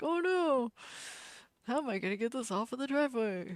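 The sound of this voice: A put-on character voice that sounds female is delivered at a high pitch and a fairly quick pace.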